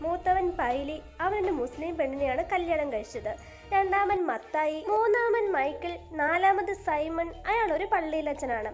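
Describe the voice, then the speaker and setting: Music plays in the background. The intonation is lively. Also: woman. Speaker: voice-over narrator. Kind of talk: movie story explanation narration.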